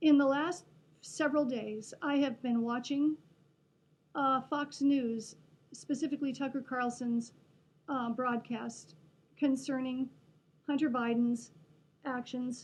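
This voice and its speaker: A woman with a Western Pennsylvania accent, high-pitched, with long and frequent pauses. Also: fairly slow pace. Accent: Western Pennsylvania American. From Pennsylvania, USA. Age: 60s. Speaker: retired music teacher. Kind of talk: personal political monologue to camera.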